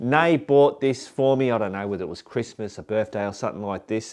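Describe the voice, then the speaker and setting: A medium-pitched man with an Australian accent and ordinary pitch variation, against a quiet background. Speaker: motorcycle vlogger. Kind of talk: casual vlog talk to camera. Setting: home garage.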